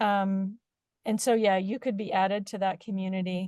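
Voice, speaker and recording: A woman speaks at a medium pitch with fairly even intonation, her voice dry and close with no echo over a quiet background. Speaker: wildfire sensor company representative. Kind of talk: webinar presentation. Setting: video call. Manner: halting, many fillers.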